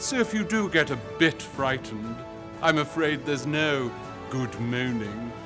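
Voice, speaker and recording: A man at a medium pitch, lively in intonation and fairly slow, with music in the background. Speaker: actor. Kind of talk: theatre trailer promo read.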